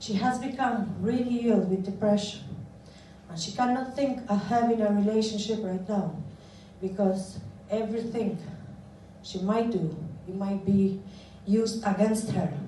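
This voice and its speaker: Amid noticeable background noise and audible room echo, a woman of medium pitch speaks with an Albanian accent, fairly even intonation and long, frequent pauses. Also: moderate pace. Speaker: asylum seeker advocate. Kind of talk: prepared speech. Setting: parliament event with audience. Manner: formal.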